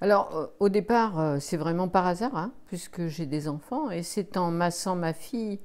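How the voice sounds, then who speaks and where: A woman's fairly low-pitched voice at a fairly slow pace, with ordinary pitch variation. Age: 60s. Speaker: energy healer and sophrologist. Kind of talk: interview. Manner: hesitant, many fillers.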